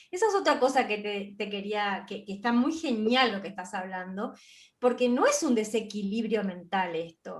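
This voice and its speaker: At a fairly slow pace, a woman talks in a somewhat breathy, fairly high voice with ordinary pitch variation. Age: 60s. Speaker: spiritual interview host. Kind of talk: interview conversation.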